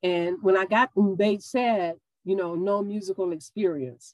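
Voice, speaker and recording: In a Mississippi accent, a woman talks at a medium pitch with ordinary pitch variation. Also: dry, close sound with no echo. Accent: Southern US (Mississippi). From US South, Meridian, Mississippi. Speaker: yoga instructor and college professor. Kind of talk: casual interview.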